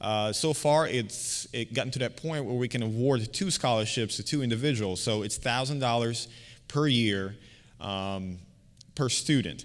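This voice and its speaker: A man talks at a moderate pace with a medium pitch and ordinary pitch variation. Audible room echo surrounds his voice. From Bosnia and Herzegovina, then Virginia from age 14. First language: Bosnian. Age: 30s. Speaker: community organizer presenting a scholarship. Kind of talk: conference presentation. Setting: stage with audience. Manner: halting, many fillers and repeats.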